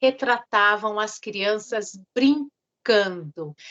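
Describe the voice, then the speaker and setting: A woman speaks with a fairly high pitch. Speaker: teacher / lecturer. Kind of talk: lecture reading from notes. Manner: reading, somewhat halting.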